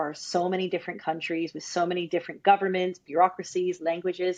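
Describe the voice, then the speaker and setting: Her pitch sits fairly low. The woman talks at a very fast pace. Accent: American. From US Northeast, New Jersey. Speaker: global marketing leader. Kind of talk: podcast interview.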